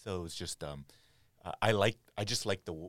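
Speaking with an American accent at a moderate pace, a man shows vocal fry and ordinary pitch variation, with a dry, close sound with no echo. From US, Cambodian American. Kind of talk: interview. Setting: studio.

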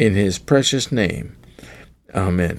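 A man with a normal speaking voice talks at a fairly slow pace, his fairly low pitch carried by lively intonation. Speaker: pastor. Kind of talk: sermon. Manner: formal.

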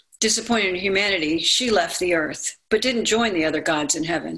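A woman with an American accent speaks in an ordinary speaking voice at medium pitch, with lively intonation. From Maryland, US. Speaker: motivational speaker and narrator. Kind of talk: personal storytelling and narration.

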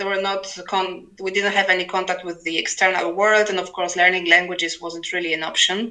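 A woman with a Polish accent talks fairly quickly at medium pitch, with hardly any pauses. Her intonation is monotone and flat, and background noise is noticeable. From Poland. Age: 40s. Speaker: novelist and literary translator. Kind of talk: interview. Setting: remote call over internet. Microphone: poor sound quality, overloaded internet.

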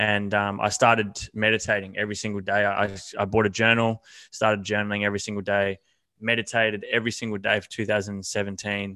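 A man with an Australian accent talks at a fairly quick pace and fairly low pitch, his tone bright and sharp. His intonation stays monotone and flat in a very clean recording with a silent background. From Australia, country Victoria. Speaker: fitness coach. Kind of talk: podcast interview. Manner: halting, many fillers.

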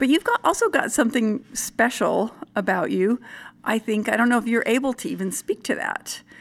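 A woman talks at a moderate pace with a fairly high pitch and ordinary pitch variation. Hers is an unremarkable speaking voice. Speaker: podcast host. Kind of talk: interview conversation.

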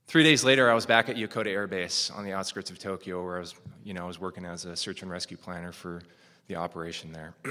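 A man with a bright, sharp tone and a very deep, low pitch races along at a very fast pace, his loudness swinging widely while his pitch varies in an ordinary way. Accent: American. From US Midwest, northern Minnesota. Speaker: Air Force officer. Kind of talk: storytelling talk.

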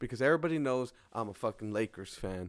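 A man speaks in an animated tone with very wide pitch swings. The sound is dry and close, with no echo. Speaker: podcast host. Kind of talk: casual chat.

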